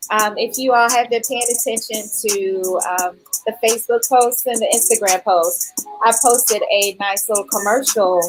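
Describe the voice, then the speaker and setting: Over background music, a woman speaks at a fairly high pitch and moderate pace with ordinary pitch variation. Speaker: fitness podcast host. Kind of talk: live-streamed interview. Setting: live stream on several platforms. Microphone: echo on stream.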